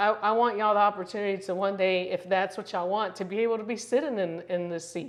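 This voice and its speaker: Here a woman speaks at a medium pitch. Her pace is fairly quick. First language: Spanish. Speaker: real estate broker. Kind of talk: casual interview chat. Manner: filler-heavy, conversational.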